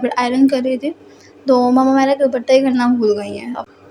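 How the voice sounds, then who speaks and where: Talking at a fairly quick pace, a woman with a high voice keeps a monotone, flat intonation over noticeable background noise. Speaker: vlogger. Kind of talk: vlog voice-over.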